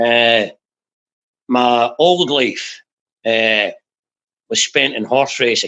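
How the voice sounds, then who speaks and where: Speaking with a Glaswegian accent at a very slow pace, the voice has a bright, sharp tone and long, frequent pauses. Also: man, medium pitch for a man, ordinary pitch variation. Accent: Glaswegian Scottish. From Scotland, south of Glasgow. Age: 60s. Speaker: recovering addict, former jockey and racehorse trainer. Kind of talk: personal testimony interview. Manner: halting, frequent fillers and repetitions.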